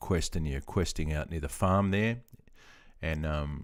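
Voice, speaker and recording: A relaxed male voice with an Australian accent and ordinary pitch variation, in a very clean recording with a silent background. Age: 50s. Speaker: veteran gaming streamer. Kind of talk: casual live stream chat. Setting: live stream. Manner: relaxed, hesitant with many fillers.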